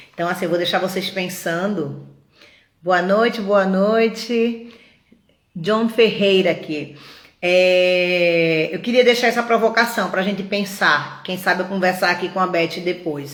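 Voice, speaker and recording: Audible room echo surrounds the recording. A woman speaks at a fairly slow pace. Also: medium pitch for a woman, ordinary pitch variation. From Pernambuco, Brazil. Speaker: feminist collective live host. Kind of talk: live stream introduction. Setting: online live stream. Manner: halting, with repeated words and fillers.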